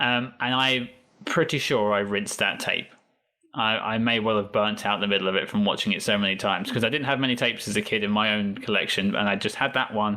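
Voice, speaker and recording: A man with a southern English accent talks very fast at a fairly low pitch. His intonation is fairly even and his loudness very even. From England. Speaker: podcast guest, Star Trek fan. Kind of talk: casual interview chat.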